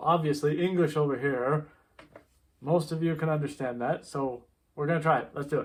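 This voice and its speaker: A man with an American accent talks at a fairly quick pace in a plain, everyday voice. His pitch is fairly high and his intonation fairly even. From USA. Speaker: vlogger. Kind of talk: casual vlog talk.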